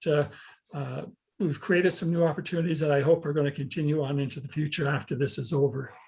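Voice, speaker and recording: Against a quiet background, a man speaks fairly quickly in a somewhat breathy voice, fairly high in pitch with fairly even intonation. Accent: Canadian. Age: 70s. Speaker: senior health coach. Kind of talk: panel discussion. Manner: halting.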